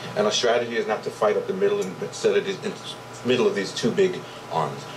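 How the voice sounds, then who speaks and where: Against noticeable background noise, a man speaks at a fairly quick pace in a New York accent. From Brooklyn, New York. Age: 40s. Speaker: martial arts instructor. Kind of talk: interview.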